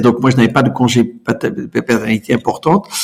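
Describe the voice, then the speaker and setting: A man at medium pitch talks at a very fast pace. Noticeable background noise runs underneath. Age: 60s. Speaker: entrepreneur. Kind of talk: interview. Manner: halting, repeats words; enthusiastic.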